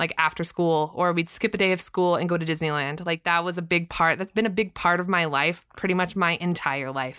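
On a very clean recording with a silent background, a woman speaks at a fairly quick pace with hardly any pauses, her bright, sharp tone carried in fairly even intonation. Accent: American. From Southern California. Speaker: podcast co-host. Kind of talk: casual chat.

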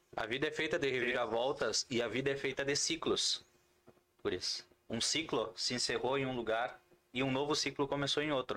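Bright and sharp in tone, a man talks fairly quickly at a fairly high pitch, his loudness very even. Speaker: podcast host. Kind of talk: casual chat. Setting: studio. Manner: animated.

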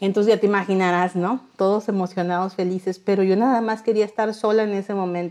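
Speaking very fast, a woman uses a medium-pitched, dark and mellow voice with monotone, flat intonation. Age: 40s. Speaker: industrial engineer and charity founder. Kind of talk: interview testimony. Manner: halting, many fillers and repetitions.

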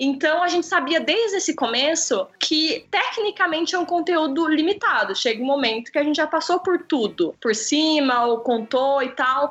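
A woman with a high, animated voice and lively intonation speaks at a moderate pace with hardly any pauses and very even loudness, over noticeable background noise. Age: 20s. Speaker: photographer and video creator. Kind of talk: casual chat.

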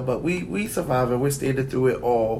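A man at a fairly slow pace with ordinary pitch variation, amid audible room echo and noticeable background noise. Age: 30s. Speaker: podcast co-host. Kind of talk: casual chat.

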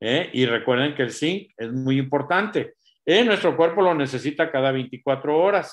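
An ordinary speaking voice from a man, fairly high in pitch, with ordinary pitch variation and a fairly slow pace. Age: 60s. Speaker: doctor giving health talk. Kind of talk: health talk.

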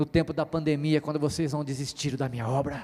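A man is speaking. His pace is fairly quick. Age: 40s. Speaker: pastor. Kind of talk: sermon. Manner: animated.

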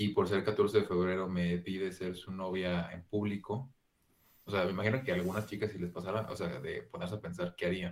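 This man speaks with a Mexican accent at a fairly quick pace. His very deep, low voice keeps a fairly even intonation. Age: 20s. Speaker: podcast co-host. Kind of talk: casual chat.

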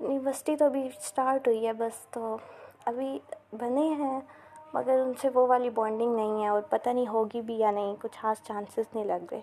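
A woman talks in a fairly high pitch with fairly even intonation. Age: 20s. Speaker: university student podcaster. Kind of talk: casual monologue. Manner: halting.

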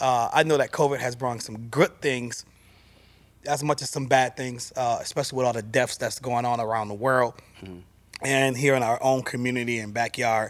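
This is an ordinary speaking voice with fairly even intonation. It moves at a moderate pace. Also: man, medium pitch for a man. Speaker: talk show host. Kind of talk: casual chat. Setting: studio.

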